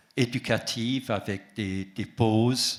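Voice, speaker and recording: A man's fairly low voice with an Alsatian accent, on a very clean recording with a silent background. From Alsace. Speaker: association president. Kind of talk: conference talk. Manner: hesitant with fillers.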